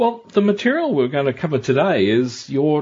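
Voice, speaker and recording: Lively intonation in a somewhat breathy male voice pitched fairly high. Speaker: podcast host. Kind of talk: interview.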